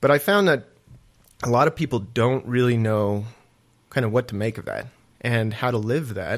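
With ordinary pitch variation and a medium pitch, a man talks at a moderate pace, leaving long, frequent pauses, on a very clean recording with a silent background. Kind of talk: casual chat about faith. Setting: studio.

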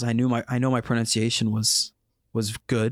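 A man with a General American accent has a plain, everyday voice at medium pitch. He speaks at a fairly slow pace on a very clean recording with a silent background. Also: dry, close sound with no echo. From United States. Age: 20s. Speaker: podcast host. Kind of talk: casual chat.

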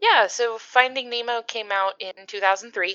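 Recorded dry and close with no echo, a woman speaks with a bright, sharp tone. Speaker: podcast guest. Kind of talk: casual chat.

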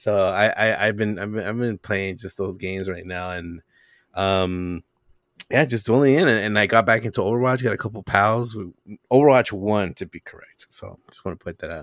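An ordinary speaking voice from a man, fairly low in pitch with ordinary pitch variation, at a moderate pace with big swings in loudness, dry and close with no echo. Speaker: guest podcaster. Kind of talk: casual chat. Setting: remote recording.

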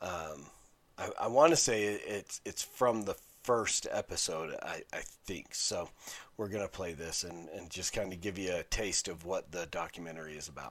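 On a very clean recording with a silent background, a man with an American accent talks at a moderate pace in a very deep, low pitch with ordinary pitch variation. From Utah, Salt Lake City. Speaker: podcast host. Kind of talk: solo review monologue.

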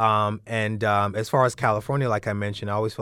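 Very fast and fairly low-pitched, a man talks with an American accent on a very clean recording with a silent background. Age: 30s. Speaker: fitness and wellness entrepreneur. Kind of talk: interview. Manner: hesitant, many fillers.

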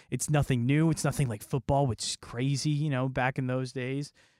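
A man with a plain, everyday voice and a fairly high pitch talks at a fairly quick pace in a very clean, dry, close recording with a silent background and no echo. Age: 20s. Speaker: radio host and game reviewer. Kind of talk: casual chat.

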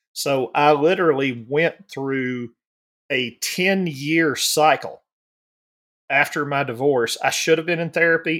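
This man speaks in a Southern US accent at a fairly high pitch. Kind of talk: casual chat.

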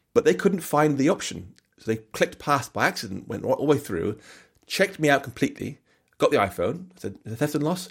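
A man with an English accent, pitch swinging very widely, at a fairly quick pace. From England. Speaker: software developer and author. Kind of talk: casual chat. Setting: video call. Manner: fast talker.

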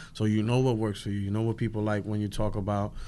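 Against a quiet background, a man with a New York accent speaks in a fairly low, monotone, flat voice. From Williamsburg, Brooklyn. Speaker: stand-up comedian. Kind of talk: casual chat.

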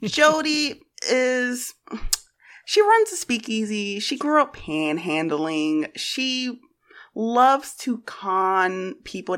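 Her pitch swinging very widely, a woman talks at a very slow pace in a very clean recording with a silent background. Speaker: tabletop roleplaying player. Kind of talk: actual play game session.

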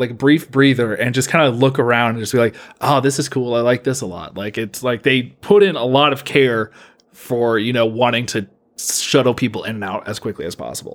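The pace is fairly quick, with ordinary pitch variation. The recording is very clean, with a silent background. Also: man. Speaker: podcast co-host. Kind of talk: casual chat. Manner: loud.

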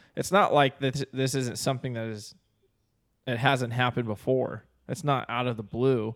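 Moderately paced and fairly even in intonation, a man with an unremarkable speaking voice talks at a medium pitch on a very clean recording with a silent background. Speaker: podcast co-host. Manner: casual, says dude often.

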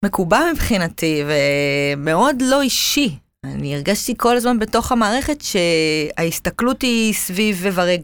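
A woman's medium-pitched voice with very wide pitch swings, at a fairly slow pace with hardly any pauses. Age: 30s. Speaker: cancer survivor. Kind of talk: casual interview. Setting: studio.

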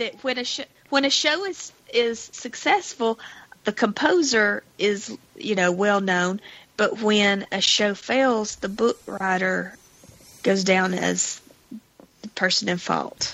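The speech moves at a very slow pace with long, frequent pauses. Pitch varies in an ordinary way. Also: woman, fairly high pitch for a woman. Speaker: podcast co-host. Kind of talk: casual chat.

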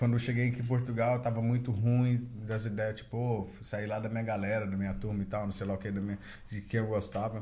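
A somewhat breathy man with a dark, mellow tone, fairly low pitch and monotone, flat intonation, at a fairly quick pace amid audible room echo. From Brazil. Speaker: podcast host. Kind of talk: casual chat.

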